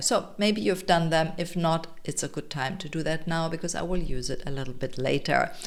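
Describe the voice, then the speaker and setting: With a German accent, a woman talks at a moderate pace in a very deep, low pitch marked by vocal fry. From Germany, Munich, Bavaria. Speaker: health coach and summit organizer. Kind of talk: presentation to an online audience.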